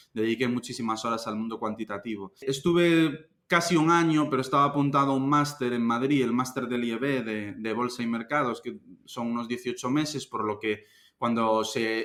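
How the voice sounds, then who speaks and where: A man at a medium pitch speaks in a Galician accent at a moderate pace with ordinary pitch variation and hardly any pauses, on a very clean recording with a silent background. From Galicia, Spain (A Coruña). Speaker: investment fund manager. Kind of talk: interview. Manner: casual, conversational.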